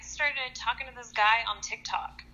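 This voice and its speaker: A woman's high voice with lively intonation at a fairly slow pace, over noticeable background noise. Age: 30s. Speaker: nurse. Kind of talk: casual chat. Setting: phone call.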